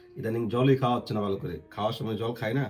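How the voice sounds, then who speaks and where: Music plays in the background behind a voice with ordinary pitch variation. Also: man. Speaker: family vlogger. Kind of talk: casual vlog chat.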